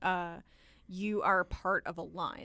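In a very clean recording with a silent background, a woman with an American accent speaks at a medium pitch with fairly even intonation, in an unremarkable speaking voice. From US South. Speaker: podcast guest and medievalist. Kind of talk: casual chat, book discussion.

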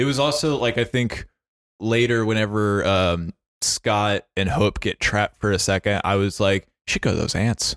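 Over a very clean recording with a silent background, a man with a normal speaking voice and a fairly low pitch speaks at a moderate pace, with ordinary pitch variation and very even loudness. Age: 20s. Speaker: podcast host. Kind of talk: casual chat; podcast outro with calls to action.

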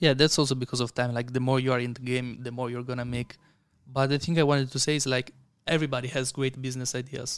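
In an Italian accent, a man speaks at a very fast pace. His intonation is monotone and flat. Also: medium pitch for a man. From Italy. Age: 20s. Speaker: content creator and investor. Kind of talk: casual interview chat.

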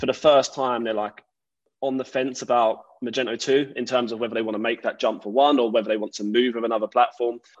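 A man with an Essex accent talks at a medium pitch. His pace is very fast. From Essex, England. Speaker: podcast host and tech recruiter. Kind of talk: casual interview.

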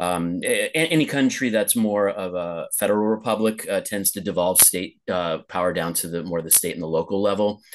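Fairly quick speech in a West Coast accent with hardly any pauses, ordinary pitch variation and a quiet background. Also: man, fairly low pitch for a man. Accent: general American, West Coast. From Los Angeles, US West Coast. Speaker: podcast host. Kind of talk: casual interview conversation. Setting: video call, remote, host in Lisbon. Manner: filler-heavy, conversational.

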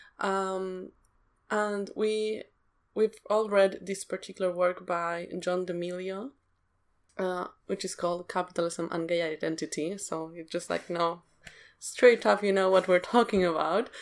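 On a very clean recording with a silent background, a woman with a non-native accent speaks at a medium pitch with fairly even intonation. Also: fairly slow pace. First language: not English. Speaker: podcast co-host. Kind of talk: casual discussion.

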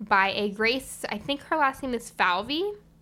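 A woman's voice comes through bright and sharp, with lively intonation. The recording is very clean and the background silent. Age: young. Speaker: podcast co-host. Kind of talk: casual chat.

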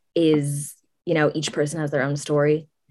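Very deep and low in pitch, a woman speaks with an American accent. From San Francisco, California. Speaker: college student, high school alumna. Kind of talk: interview.

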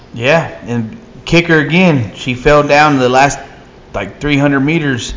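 With a Texan accent and ordinary pitch variation, a man is heard through audible room echo and noticeable background noise. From Texas. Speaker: sports talk show co-host. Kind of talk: casual chat.

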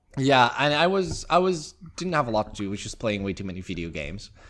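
In a normal speaking voice, a man talks with lively intonation on a very clean recording with a silent background. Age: 20s. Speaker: pixel artist podcast co-host. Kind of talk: casual chat.

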